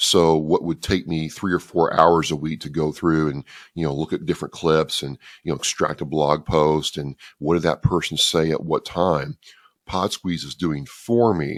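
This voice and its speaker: A man talks in a very deep, low voice. His pace is moderate and his intonation fairly even. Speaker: podcaster for veterans. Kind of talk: interview.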